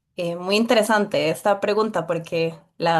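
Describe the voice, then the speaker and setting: A woman at medium pitch, fairly slow and fairly even in intonation, against a quiet background. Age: 20s. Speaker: political candidate. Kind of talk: interview.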